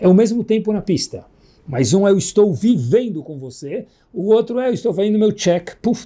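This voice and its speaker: A man's voice, dark and mellow in tone. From Brazil, São Paulo. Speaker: rabbi giving Torah lesson. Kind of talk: religious lecture. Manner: animated.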